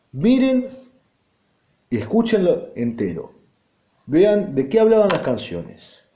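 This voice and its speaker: With audible room echo around him, a man talks very slowly in an Argentine accent, leaving long, frequent pauses. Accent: Argentine Spanish (Rioplatense). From Argentina. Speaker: podcaster, rock music commentator. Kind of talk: solo podcast monologue.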